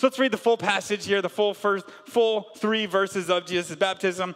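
A man with an American accent speaks in a high voice at a fairly quick pace, his tone animated, with music in the background. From US South, Canton, Georgia. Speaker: pastor. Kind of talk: sermon.

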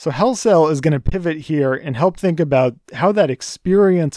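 A man with an American accent, dark and mellow in tone, at a moderate pace with lively intonation, in a dry, close sound with no echo. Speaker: church educator leading a book study. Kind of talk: lecture.

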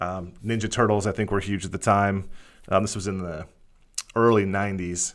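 In an American accent, a man with a fairly low pitch speaks in a monotone, flat manner. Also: moderate pace. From Pennsylvania, Lehigh Valley. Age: 30s. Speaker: podcast host. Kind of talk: casual chat.

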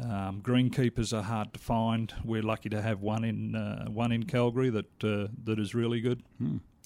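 This is a man with a dark, mellow tone. His intonation stays fairly even. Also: medium pitch for a man, moderate pace. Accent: Australian. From Australia. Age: 50s. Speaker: lawn bowls association official and player. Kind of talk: interview. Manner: casual, hesitant with fillers.

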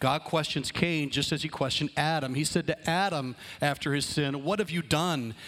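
The recording is very clean, with a silent background. An unremarkable speaking voice moves at a fairly quick pace. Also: man. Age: 50s. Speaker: pastor. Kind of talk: sermon.

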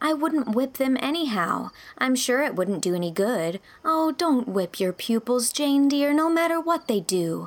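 A woman does a high-pitched, put-on character voice with big pitch swings, speaking at a fairly slow pace with few pauses.

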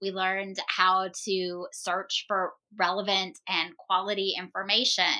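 Her tone bright and sharp, a woman speaks at a fairly slow pace with monotone, flat intonation. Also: medium pitch for a woman. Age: 40s. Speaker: homeschool podcast co-host and teacher. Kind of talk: casual chat.

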